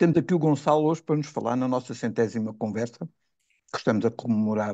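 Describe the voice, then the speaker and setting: This man's voice has a dark, mellow tone and medium pitch. He talks at a fairly quick pace with ordinary pitch variation. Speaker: podcast host. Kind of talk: casual chat. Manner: halting.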